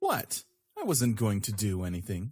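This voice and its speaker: A put-on character voice speaks at a low pitch and a moderate pace. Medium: audio drama. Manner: teasing, smooth.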